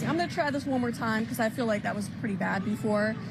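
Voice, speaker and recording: With music in the background, a woman speaks at a very fast pace in a fairly high pitch with ordinary pitch variation. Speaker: television news reporter. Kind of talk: casual on-location feature banter. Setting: outdoors on location. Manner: casual, lively, with spontaneous reactions.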